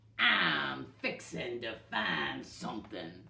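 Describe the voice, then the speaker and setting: Growling and gruff, a put-on character voice in a Western US accent moves at a very slow pace with a very deep, low pitch. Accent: Western drawl. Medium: read story. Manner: growling, gruff.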